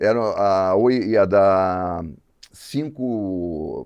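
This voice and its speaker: The setting behind the voice is quiet. He is a man with a fairly low pitch. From Rio de Janeiro, Brazil. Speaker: advertising creative director. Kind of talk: podcast interview.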